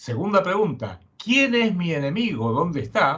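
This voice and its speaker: His pitch swings very widely. The man speaks at a fairly slow pace. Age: 70s. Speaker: geopolitical analyst and writer. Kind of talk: interview.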